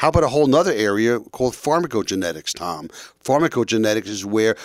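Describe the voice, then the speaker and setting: A man with a normal speaking voice talks at a medium pitch with lively intonation. The recording is very clean, with a silent background. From New York. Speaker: family physician. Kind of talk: radio interview.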